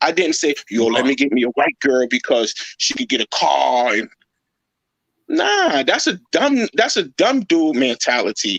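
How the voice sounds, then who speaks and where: Fairly slow speech from a man, very even in loudness, with a dry, close sound and no echo. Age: 40s. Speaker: YouTube commentary streamer. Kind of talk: livestream commentary chat. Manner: animated.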